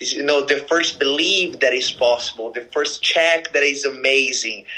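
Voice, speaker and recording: Speaking with a Brazilian accent, a man uses a fairly high pitch, ordinary pitch variation, and a bright, sharp tone at a moderate pace. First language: Portuguese. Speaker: network marketing leader. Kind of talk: casual interview. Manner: halting, many fillers.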